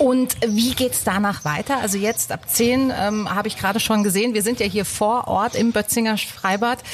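Over noticeable background noise, a woman speaks at a moderate pace with hardly any pauses. Her voice sits fairly high, with fairly even intonation. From southern Baden, Germany. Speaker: radio host. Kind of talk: scripted narration; interview.

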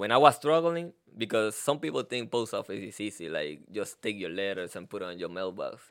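A man with a Puerto Rican accent talks at a fairly quick pace in a fairly low voice, with hardly any pauses. His pitch swings very widely and his loudness varies a lot, in a very clean recording with a silent background. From Puerto Rico. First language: Spanish. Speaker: postal employee. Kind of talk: casual interview.

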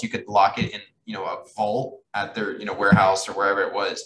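A man talks with a Midwestern US accent. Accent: US Midwest. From Kansas City, Missouri. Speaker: marketer and social media influencer. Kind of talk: casual interview chat.

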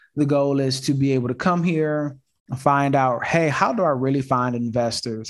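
A man's normal speaking voice at a medium pitch, with ordinary pitch variation and a moderate pace. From Detroit and Houston, US. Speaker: real estate investor and show host. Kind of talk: casual live video call chat. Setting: video call from home office. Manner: rambling with many fillers.

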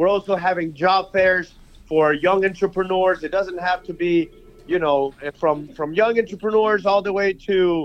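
A man talks with a high pitch, fairly even intonation and a moderate pace. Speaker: young professionals network leader. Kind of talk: radio call-in. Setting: phone call.

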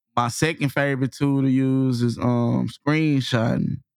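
A man with an American accent speaks at a medium pitch and a fairly slow pace, with fairly even intonation. The very clean recording has a silent background and a dry, close sound with no echo. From Texas, Waco. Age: 30s. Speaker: content creator. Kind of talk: casual interview. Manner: laid-back.

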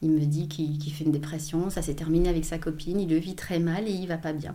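Fairly even intonation and a moderate pace mark speech with a dark, mellow tone. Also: woman. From Belgium, Hainaut countryside. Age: 40s. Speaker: personal development coach. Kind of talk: interview, life story. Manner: halting, many repetitions.

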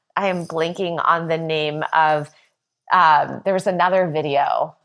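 Here a woman with a fairly low pitch uses a plain, everyday voice at a fairly slow pace. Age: 30s. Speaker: social worker and social impact consultant. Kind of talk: casual interview chat.

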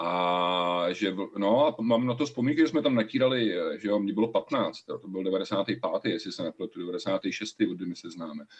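At a fairly slow pace, a man with an ordinary speaking voice talks at a fairly low pitch with lively intonation. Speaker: podcast co-host. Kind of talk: casual chat.

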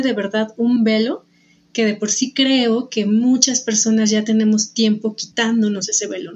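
Somewhat breathy, a woman with a fairly high pitch speaks at a fairly slow pace and with fairly even intonation. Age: 40s. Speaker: podcast host. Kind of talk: interview conversation.

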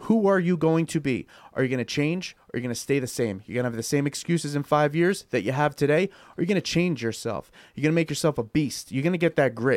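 In a very clean recording with a silent background and a dry, close sound with no echo, a man has an ordinary speaking voice, a fairly high pitch with ordinary variation, and a fairly quick pace. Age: 30s. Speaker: radio show co-host. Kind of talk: casual chat; motivational talk. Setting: studio.

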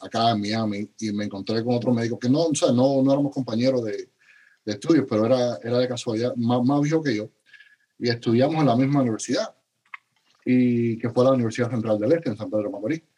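A man is heard speaking fairly quickly. The variation in his pitch is ordinary. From Cuba. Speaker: paramedic educator and physician. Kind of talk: interview. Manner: halting, many repeated words.

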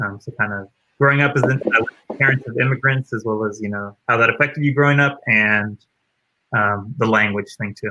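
In a plain, everyday voice, a man with an American accent speaks at a medium pitch and moderate pace with fairly even intonation. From US East Coast. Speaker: podcast host. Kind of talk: casual interview chat.

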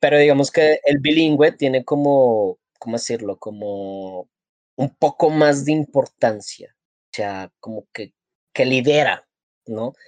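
The man's voice sits at medium pitch with ordinary pitch variation and a very slow pace. His loudness swings widely, and the sound is dry and close without echo. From Colombia. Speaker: podcast co-host. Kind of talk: casual chat.

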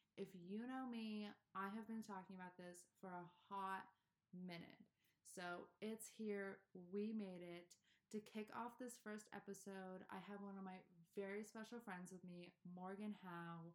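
Monotone, flat intonation from a woman at medium pitch and a fairly slow pace. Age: 20s. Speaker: podcast host. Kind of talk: casual chat.

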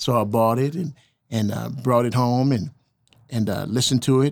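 In a normal speaking voice of medium pitch, a man talks at a fairly quick pace with fairly even intonation over a very clean recording with a silent background. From Oklahoma (moved from Milwaukee as a child). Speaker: jazz guitarist and author. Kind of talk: casual interview.

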